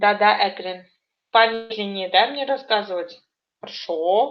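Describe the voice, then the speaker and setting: A woman talks very slowly at a mid-range pitch that varies by ordinary amounts. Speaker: language teacher. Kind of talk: online lesson.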